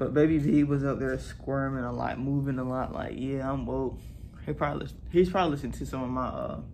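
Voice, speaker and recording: A man speaks at a fairly quick pace amid audible room echo. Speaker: family vlogger. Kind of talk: casual vlog talk.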